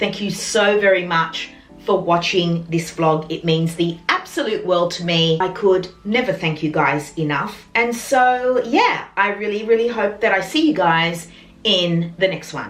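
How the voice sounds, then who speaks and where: A woman with an Australian accent at a medium pitch and fairly slow pace, ordinary pitch variation, audible room echo and noticeable background noise. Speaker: lifestyle vlogger. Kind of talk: casual vlog talk to camera.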